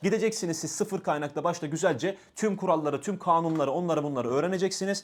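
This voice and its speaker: A man speaks at a very fast pace with hardly any pauses. His animated voice sits high in pitch. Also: ordinary pitch variation. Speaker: exam coach and university student; exam coach. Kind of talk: tutorial. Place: studio. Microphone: lapel.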